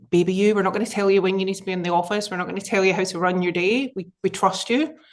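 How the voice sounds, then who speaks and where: The speaker has a Scottish accent. The intonation stays fairly even. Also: woman. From Scotland. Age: 30s. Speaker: business executive. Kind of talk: interview.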